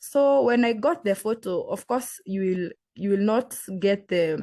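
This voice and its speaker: A woman's medium-pitched voice in a Kenyan accent, dark and mellow in tone, at a fairly slow pace against a quiet background. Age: young. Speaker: green card lottery applicant. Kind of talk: interview. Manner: halting.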